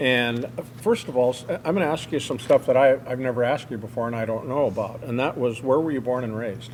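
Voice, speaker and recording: Against noticeable background noise, a man races along at a very fast pace with hardly any pauses and fairly even intonation. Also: medium pitch for a man. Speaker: war veteran. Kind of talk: interview.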